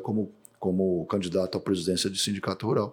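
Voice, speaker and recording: A man has an unremarkable speaking voice at a fairly low pitch. He talks at a moderate pace. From Brazil, Mato Grosso do Sul. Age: 50s. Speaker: agronomist and rancher. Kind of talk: interview.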